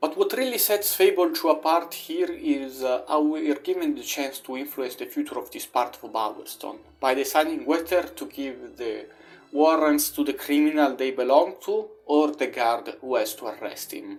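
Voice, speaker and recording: A moderate pace with a non-native accent. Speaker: video game reviewer. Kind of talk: video essay narration.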